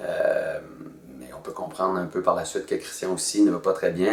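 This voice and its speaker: This man talks at a moderate pace. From northern New Brunswick, Acadia. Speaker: actor and storyteller. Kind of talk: promotional interview. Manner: hesitant, many fillers; casual, colloquial.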